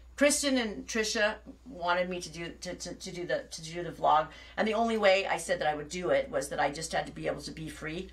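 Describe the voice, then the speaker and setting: A woman with an American accent speaks at a very fast pace. Her loudness swings widely, and noticeable background noise is present. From Northern California. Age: 50s. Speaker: fiber artist and dyeing teacher. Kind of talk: casual live vlog chat. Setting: live video stream. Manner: halting, repetitive.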